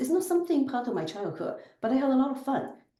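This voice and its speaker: A woman is speaking. The room echo is audible. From southern China. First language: Chinese dialect. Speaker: business executive. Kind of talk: podcast interview.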